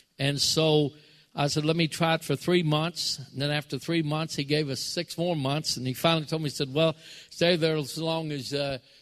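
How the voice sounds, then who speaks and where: Moderate pace and fairly even intonation in a normal speaking voice. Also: man. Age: 60s. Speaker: pastor. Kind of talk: sermon. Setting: church.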